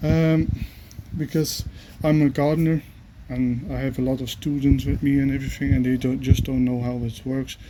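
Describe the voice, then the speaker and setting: A man with a non-native accent speaks at a moderate pace and medium pitch, with ordinary pitch variation and noticeable background noise. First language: not English. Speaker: gardener. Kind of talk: tutorial. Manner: halting.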